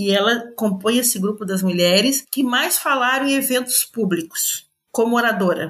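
A woman with an unremarkable speaking voice, fairly high pitch, ordinary pitch variation, and a moderate pace. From Brazil, Florianópolis (Santa Catarina). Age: 60s. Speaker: educator and author. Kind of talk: interview.

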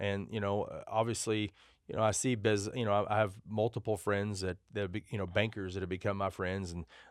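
In a West Texas accent, a man with fairly low pitch speaks at a fairly quick pace with fairly even intonation on a very clean recording against a silent background. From Texas, Amarillo. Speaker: trucking company owner. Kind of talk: interview. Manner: casual, with many fillers.

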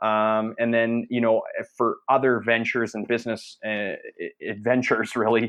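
In an ordinary speaking voice, a man holds a medium pitch and a moderate pace. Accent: Canadian. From Canada. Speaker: entrepreneur, former junior hockey player. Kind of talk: casual interview. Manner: many fillers and repetitions.

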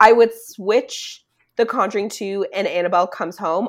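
On a very clean recording with a silent background, a woman speaks at a moderate pace in a bright, sharp tone. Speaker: podcast co-host. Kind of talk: casual chat, movie podcast.

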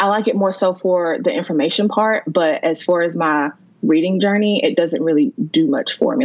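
A woman with an American accent has an unremarkable speaking voice and a fairly low pitch. Her intonation is lively. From North Carolina. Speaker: emergency management worker, book lover. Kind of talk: casual chat.

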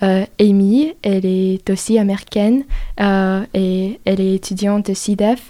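In an English accent, a woman speaks very slowly in a dark, mellow tone with fairly even intonation, recorded very cleanly against a silent background. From US South. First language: English (speaking French). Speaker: exchange student. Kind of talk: interview. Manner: halting.

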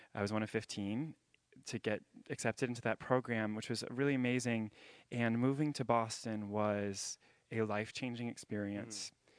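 An unremarkable speaking voice belongs to a man with an American accent, medium pitch, fairly even intonation and a moderate pace, heard dry and close with no echo against a quiet background. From US South, Jacksonville, Florida. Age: 20s. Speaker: ballet dancer. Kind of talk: interview on stage. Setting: stage with audience.

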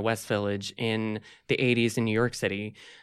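At a moderate pace, a man talks in a normal speaking voice on a very clean recording with a silent background. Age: 30s. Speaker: LGBT advocate. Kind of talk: interview.

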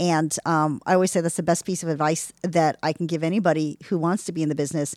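Fairly low in pitch, a woman speaks at a very fast pace with fairly even intonation. The sound is dry and close with no echo, in a very clean recording with a silent background. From Texas. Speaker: actress. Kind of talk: casual chat.

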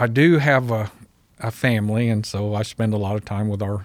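A normal speaking voice with an American accent moves at a fairly quick pace. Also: man. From Southern California, East LA; teens in Missouri. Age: 50s. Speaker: pest control business owner. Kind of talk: interview. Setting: studio.

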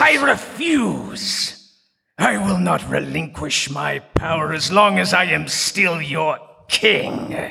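A raspy, cartoonish character voice from a man, fairly high in pitch and very slow. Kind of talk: cartoon villain acting. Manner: indignant, then scheming.

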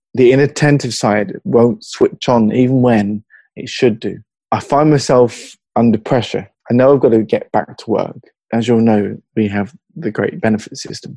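At a moderate pace, a man speaks at a medium pitch, the sound dry and close with no echo. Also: ordinary pitch variation. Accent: slight southern English. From Hertfordshire, England. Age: 40s. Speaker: mental health advocate. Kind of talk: casual interview conversation. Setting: video call across time zones.

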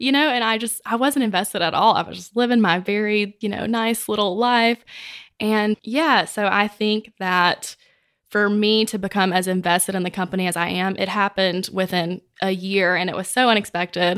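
A woman with a Mississippi accent at medium pitch and a moderate pace, with ordinary pitch variation, on a very clean recording with a silent background. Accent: US Southern (Mississippi). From Mississippi (small town). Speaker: business development director. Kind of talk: casual interview chat. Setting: office.

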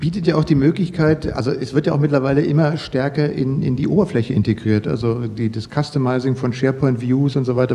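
A man speaks fairly quickly while noticeable noise runs in the background. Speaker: podcast host. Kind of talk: casual interview.

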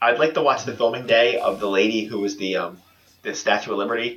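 This man has a medium pitch and fairly even intonation. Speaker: podcast guest. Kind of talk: casual comedic podcast chat.

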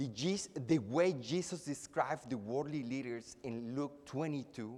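A man with a Spanish accent speaks at a very slow pace. His pitch is medium, with ordinary variation. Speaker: preacher. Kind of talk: sermon. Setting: church. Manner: formal.

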